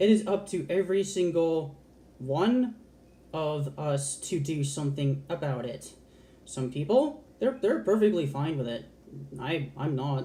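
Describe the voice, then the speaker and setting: Her voice very deep and low with a dark, mellow tone, a woman speaks somewhat breathily at a fairly slow pace with lively intonation. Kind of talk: casual talk to camera. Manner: passionate, candid, expressive.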